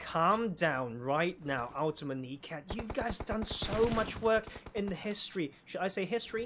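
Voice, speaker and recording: A moderate pace with noticeable background noise. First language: Cantonese. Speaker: esports caster. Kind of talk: live commentary. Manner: casual, conversational.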